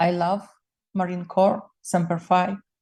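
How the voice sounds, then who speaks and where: A somewhat breathy voice with a dark, mellow tone at a moderate pace. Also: woman. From Ukraine (Soviet era). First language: Ukrainian or Russian. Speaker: political commentator. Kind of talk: personal political monologue video stream. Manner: emotional.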